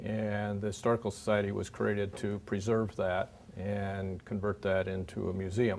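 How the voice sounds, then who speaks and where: A man with an American accent in a monotone, flat intonation at a moderate pace. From Minnesota, Minneapolis area. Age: 70s. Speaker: local historical society president. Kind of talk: presentation to an audience. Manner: halting, with fillers and restarts.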